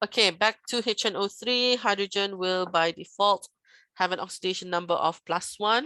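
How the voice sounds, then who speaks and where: In a quiet background, a woman uses an ordinary speaking voice at medium pitch. Her pace is moderate, with ordinary pitch variation. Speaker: chemistry teacher. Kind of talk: recorded lecture.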